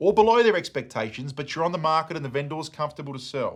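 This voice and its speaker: On a very clean recording with a silent background, a man with an Australian accent and a fairly high pitch talks at a very fast pace in an energetic, passionate tone. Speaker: auctioneer. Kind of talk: coaching lesson to camera.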